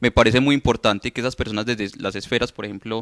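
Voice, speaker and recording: A man speaks at medium pitch in a bright, sharp tone with fairly even intonation. The recording is very clean with a silent background, and the sound is dry and close with no echo. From Colombia, Antioquia (Urrao). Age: 20s. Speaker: youth leader. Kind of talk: interview. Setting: studio. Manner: hesitant, many fillers.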